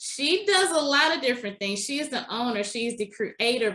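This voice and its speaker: A woman with a slight Southern US accent speaks at a moderate pace in a bright, sharp tone. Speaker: podcast host. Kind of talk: interview podcast.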